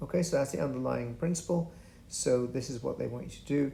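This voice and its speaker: A man's dark, mellow voice at a medium pitch, with vocal fry and ordinary pitch variation. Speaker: physics tutor. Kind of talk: tutorial. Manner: halting.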